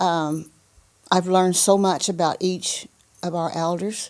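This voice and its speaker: In an American accent, a woman with a fairly low pitch speaks at a very slow pace with monotone, flat intonation. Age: 70s. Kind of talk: interview, casual chat.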